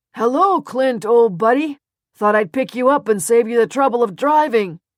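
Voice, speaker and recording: Put on as a character, a loud, booming, female-sounding voice at a fairly high pitch moves at a moderate pace. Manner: hearty, friendly on the surface.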